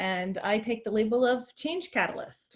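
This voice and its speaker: In a quiet background, a woman with an unremarkable speaking voice talks at a fairly slow pace, her fairly high pitch showing ordinary variation. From US, grew up around the country and New York City. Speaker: adjunct professor, keynote speaker. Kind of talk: keynote presentation. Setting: virtual conference.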